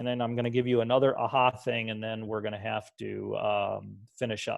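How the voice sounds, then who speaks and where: The background stays quiet. A man talks at a fairly quick pace. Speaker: computer science teacher trainer. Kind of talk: tutorial.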